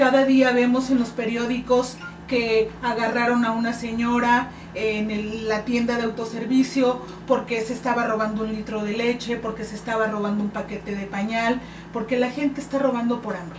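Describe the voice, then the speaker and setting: Noticeable background noise and audible room echo surround a voice with monotone, flat intonation. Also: woman, fairly high pitch for a woman, moderate pace. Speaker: political candidate. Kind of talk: radio interview.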